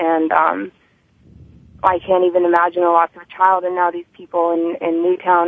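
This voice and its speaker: A woman talks in a plain, everyday voice at a moderate pace. Her pitch is fairly low. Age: 20s. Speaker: recovering addict and advocate. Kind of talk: interview. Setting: radio studio.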